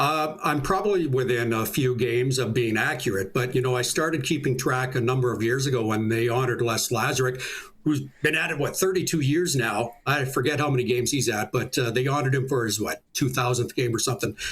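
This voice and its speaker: The speaker barely pauses, keeping the loudness very even and the pitch variation ordinary. Noticeable background noise runs underneath. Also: man, medium pitch for a man. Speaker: public address announcer for a junior hockey team. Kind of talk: interview answer, casual sports talk.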